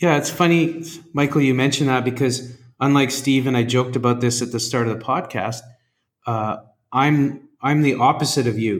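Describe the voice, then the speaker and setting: With a normal speaking voice, a man talks at a medium pitch and moderate pace with fairly even intonation on a very clean recording with a silent background. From Canada. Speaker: podcast host, education consultant. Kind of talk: podcast interview.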